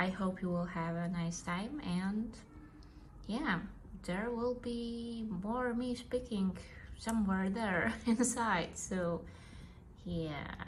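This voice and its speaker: Audible room echo surrounds a woman with a non-native accent. She speaks at a fairly high pitch and a very slow pace. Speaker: vlogger. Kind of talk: casual vlog talk to camera. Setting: at home on the couch. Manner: hesitant, with fillers.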